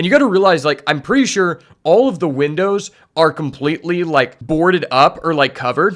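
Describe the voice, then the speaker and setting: An unremarkable speaking voice from a man, fairly high in pitch, at a moderate pace, on a very clean recording with a silent background. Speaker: streamer reacting to a show. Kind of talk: reaction commentary.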